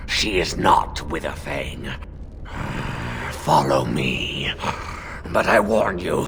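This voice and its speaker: A man puts on a character voice with a very deep, low pitch, moving at a very slow pace with long, frequent pauses. Background noise is clearly heard. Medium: video game. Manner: formal, guarded.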